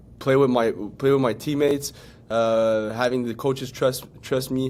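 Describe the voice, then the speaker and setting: A man speaks with a French accent at a medium pitch. His intonation is monotone and flat. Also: moderate pace. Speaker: pro football player. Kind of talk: interview. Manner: halting.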